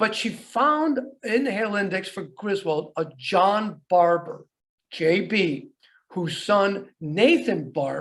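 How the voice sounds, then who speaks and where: Amid audible room echo, a man with a high voice talks very slowly, his intonation lively. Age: 70s. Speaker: archaeologist. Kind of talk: lecture. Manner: halting.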